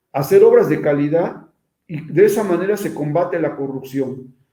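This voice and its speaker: With a dark, mellow tone, a man talks at a moderate pace with ordinary pitch variation. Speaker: invited speaker on social oversight of public works. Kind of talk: online lecture with slides. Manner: repetitive, halting restarts.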